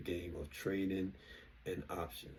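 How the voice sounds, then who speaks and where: The voice is somewhat breathy, with a dark, mellow tone. It carries an American accent. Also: man. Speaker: investing vlogger. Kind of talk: casual monologue. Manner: halting.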